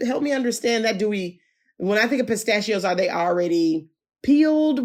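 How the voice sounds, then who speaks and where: Animated and fairly high-pitched, a woman with an American accent makes very wide pitch swings on a very clean recording with a silent background. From US South. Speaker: podcast host. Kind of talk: interview.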